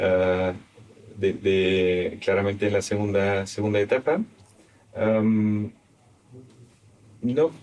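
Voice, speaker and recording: A man with a non-native accent talks at a very slow pace in a fairly low pitch, keeping very even loudness and taking long, frequent pauses. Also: ordinary pitch variation. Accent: foreign accent in Spanish. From Belgium. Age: 50s. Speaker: investment firm founder. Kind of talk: interview. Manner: halting.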